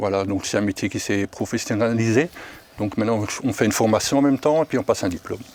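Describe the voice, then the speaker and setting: A man at medium pitch speaks at a very fast pace with ordinary pitch variation. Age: 60s. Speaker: foster parent. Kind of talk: casual chat.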